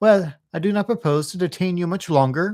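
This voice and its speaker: Doing a put-on character voice, a man speaks in a squeaky, high register at a moderate pace with ordinary pitch variation, on a very clean recording with a silent background. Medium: read story. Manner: mock-pompous, sneering.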